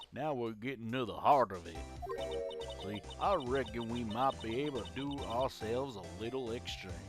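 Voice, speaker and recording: A man puts on a drawling character voice in a Southern US accent, pitched medium and delivered at a moderate pace. Clear music plays in the background. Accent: Southern American drawl, y'all. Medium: game stream. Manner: folksy, drawling.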